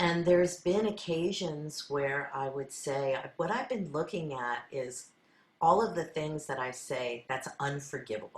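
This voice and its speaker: Speaking at a fairly slow pace, a woman uses a very deep, low pitch with lively intonation. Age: 60s. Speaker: sound healer. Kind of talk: spiritual talk.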